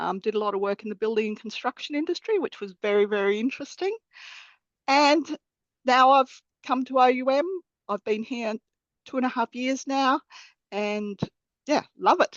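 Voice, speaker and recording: Speaking at a moderate pace in an Australian accent, a woman uses a high pitch and lively intonation, with long, frequent pauses. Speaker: accountant and bursar. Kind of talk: webinar interview.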